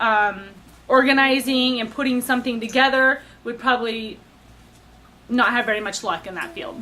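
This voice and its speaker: A woman with a high pitch and a bright, sharp tone speaks with ordinary pitch variation, big swings in loudness, and long, frequent pauses. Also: moderate pace. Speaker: baking show applicant. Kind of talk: audition interview. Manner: hesitant, many fillers.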